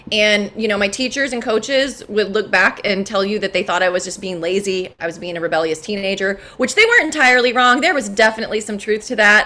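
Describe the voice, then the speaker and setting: A woman with an American accent talks at a very fast pace with hardly any pauses, her fairly high pitch moving with ordinary variation. Noticeable background noise runs behind her. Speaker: cancer survivor, natural health practitioner. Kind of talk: personal testimony to online group. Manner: casual, many fillers and restarts.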